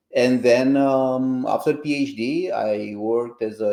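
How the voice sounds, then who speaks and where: A man talks in a fairly high pitch with a Romanian accent. His tone is dark and mellow. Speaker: computer science professor and founder. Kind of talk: interview podcast.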